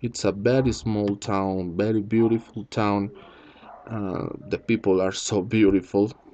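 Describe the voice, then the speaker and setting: At a very slow pace, a man with a Spanish accent speaks in a fairly low, dark, mellow voice with fairly even intonation. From Colombia. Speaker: teacher. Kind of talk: video explanation. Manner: halting.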